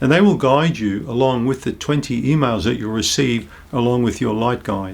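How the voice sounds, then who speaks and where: A man with a New Zealand accent, medium pitch, ordinary pitch variation and a moderate pace. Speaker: naturopath. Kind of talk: health education talk to camera. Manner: calm, reassuring.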